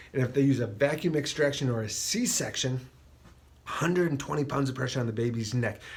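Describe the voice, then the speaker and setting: Amid noticeable background noise and audible room echo, a man talks at a medium pitch with ordinary pitch variation. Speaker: chiropractor. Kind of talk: health talk to camera. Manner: fast.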